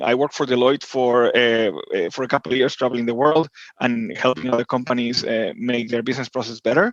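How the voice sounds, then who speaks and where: In an Argentine accent, a man talks at a very fast pace, recorded dry and close with no echo. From Argentina, Buenos Aires. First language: Spanish. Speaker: tech executive. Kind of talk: podcast interview. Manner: hesitant, many fillers and repeats.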